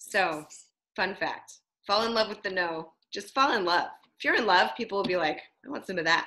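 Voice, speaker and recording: A woman speaks at a fairly quick pace and medium pitch, in a bright, sharp, animated tone with lively intonation. She leaves long, frequent pauses. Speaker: team leader on sales training call. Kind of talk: training call.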